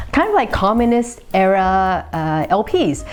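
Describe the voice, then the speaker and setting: A woman with an American accent, against noticeable background noise. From San Francisco Bay Area, California. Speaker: vinyl collecting YouTuber. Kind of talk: casual Q&A vlog. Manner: casual, with many filler uhs.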